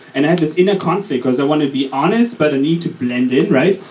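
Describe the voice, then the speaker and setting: There is noticeable background noise as a man talks at a fairly quick pace in a fairly high pitch with ordinary pitch variation. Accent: German. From Germany. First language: German. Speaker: student comedian. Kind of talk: stand-up. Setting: stage with audience. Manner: halting.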